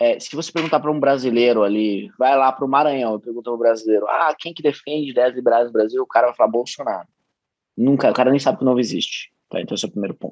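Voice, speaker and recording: Speaking at a very fast pace, a man with a medium pitch shows big swings in loudness and ordinary pitch variation, recorded dry with no echo against a quiet background. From Brazil. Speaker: state politician. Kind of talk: casual interview. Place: home room. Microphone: video call.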